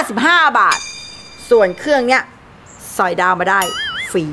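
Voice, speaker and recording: The voice is a woman's. There is light background noise. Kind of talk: scolding, animated family talk. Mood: scolding, sarcastic. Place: home room.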